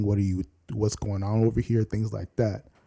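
Fairly low in pitch, a man delivers a normal speaking voice at a moderate pace. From Virginia Beach, Virginia (Nigerian family). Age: 20s. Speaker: guest, student. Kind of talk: casual chat.

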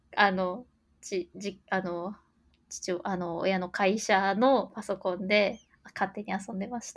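Delivery is very slow. The intonation remains fairly even. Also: woman, medium pitch for a woman. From Japan, Gifu prefecture. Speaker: software engineer. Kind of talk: interview conversation.

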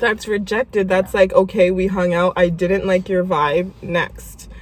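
A woman at a medium pitch uses an ordinary speaking voice, keeping a moderate pace and fairly even intonation. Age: 20s. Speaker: podcast host. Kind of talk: casual chat.

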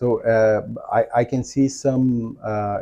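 A man with a Portuguese accent and a dark, mellow tone speaks at medium pitch, very slowly, with fairly even intonation. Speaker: podcast host and entrepreneur. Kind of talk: interview. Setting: office.

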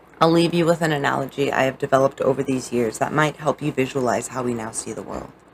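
Over noticeable background noise, a woman talks at a very fast pace with hardly any pauses, her very deep, low pitch carrying a warm tone and ordinary pitch variation. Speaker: audiobook author reading own book. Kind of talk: reading aloud own poetry and prose, dramatic narration. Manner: dramatic, emotive, intense, with theatrical pauses; earnest, warm, sincere.

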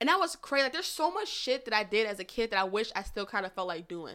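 Talking at a very fast pace, a woman uses a bright, sharp tone, an animated tone and a fairly high pitch. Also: very clean recording, silent background. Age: 30s. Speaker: podcast guest, childhood storyteller. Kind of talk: casual chat.

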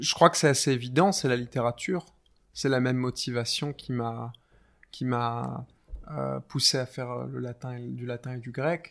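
A man's medium-pitched voice at a fairly slow pace with fairly even intonation. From France. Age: 20s. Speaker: doctoral researcher in philology. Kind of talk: interview conversation. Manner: halting, with frequent hesitations.

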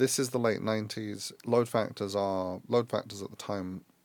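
A man with a London accent talks at a moderate pace with fairly even intonation. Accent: British English (London). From England, London. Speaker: airline executive. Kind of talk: interview. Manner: halting, many repetitions and restarts.

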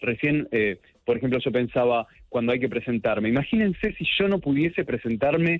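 With very wide pitch swings, a man speaks at a medium pitch. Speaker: LGBT and HIV activist. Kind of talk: casual chat.

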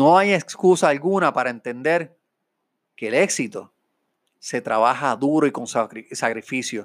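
Lively intonation and an animated tone mark a man's fairly high voice at a fairly slow pace. The recording is very clean with a silent background. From Puerto Rico (Mayagüez). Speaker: podcast host, business consultant and real estate broker. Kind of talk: motivational talk.

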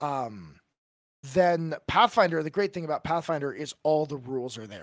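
In an American accent, a man with a fairly high pitch and an unremarkable speaking voice talks at a fairly quick pace with lively intonation, in a dry, close sound with no echo and a very clean recording over a silent background. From California. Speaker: tabletop game master and podcaster. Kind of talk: casual chat.

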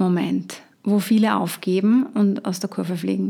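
A woman talks at a medium pitch. She takes a fairly slow pace. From Austria, Upper Austria. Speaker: health coach. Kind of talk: solo podcast talk.

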